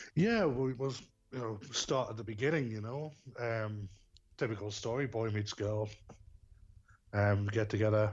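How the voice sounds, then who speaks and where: In a strong Geordie accent, a man speaks at a moderate pace and medium pitch, with ordinary pitch variation and long, frequent pauses. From northern England, Newcastle. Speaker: bereaved father. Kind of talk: podcast interview, personal story. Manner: hesitant, many fillers.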